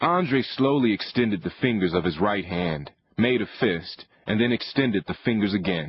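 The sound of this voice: Unforced reading voice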